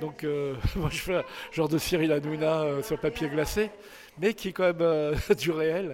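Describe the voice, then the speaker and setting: This man's fairly high voice, with ordinary pitch variation, breaks into long, frequent pauses amid noticeable background noise. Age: 60s. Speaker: photographer. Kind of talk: interview. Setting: book signing event. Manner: halting.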